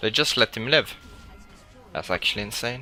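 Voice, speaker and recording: Fairly low in pitch, a man speaks with a non-native accent. His intonation stays fairly even. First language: not English. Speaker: video game streamer. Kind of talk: live gameplay commentary. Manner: monotone.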